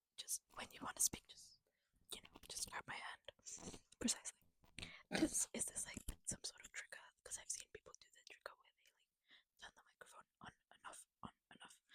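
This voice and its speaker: Whispering with long, frequent pauses and big swings in loudness, a woman is heard in a dry, close sound with no echo. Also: fairly quick pace. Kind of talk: ASMR-style casual chat between two friends. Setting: shared single microphone, two people taking turns. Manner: soft-spoken, casual, chatty.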